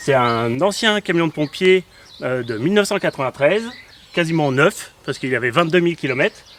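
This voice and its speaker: Noticeable background noise accompanies a man with a fairly high pitch. He speaks at a fairly quick pace with lively intonation. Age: 40s. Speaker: graphic designer, travelling family father. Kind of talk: casual interview.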